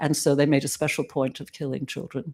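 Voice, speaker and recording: A woman with a very deep, low pitch and fairly even intonation, on a very clean recording with a silent background. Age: 70s. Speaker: Holocaust survivor's daughter giving testimony. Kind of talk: memorial talk. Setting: synagogue service with audience. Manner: halting.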